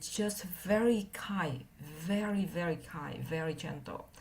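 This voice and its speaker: A woman with a non-native accent speaks at a very slow pace, somewhat breathy, with ordinary pitch variation. Audible room echo fills the space. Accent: heavy non-native. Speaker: meditation teacher. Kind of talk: dharma talk. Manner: halting, many fillers.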